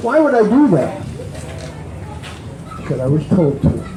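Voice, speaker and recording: A man's voice with very wide pitch swings, audible room echo and crowd noise behind. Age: 80s+. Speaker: recovery speaker. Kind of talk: recovery testimony talk. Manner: animated.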